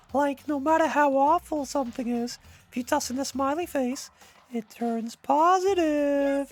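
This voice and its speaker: A man uses a put-on character voice at an extremely high pitch, speaking at a moderate pace. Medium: game stream. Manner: theatrical, upbeat explaining.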